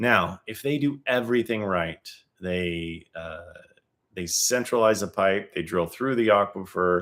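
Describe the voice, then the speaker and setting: With ordinary pitch variation, a man talks at a fairly low pitch. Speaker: groundwater survey company owner. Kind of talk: livestream tutorial. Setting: live stream. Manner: fast.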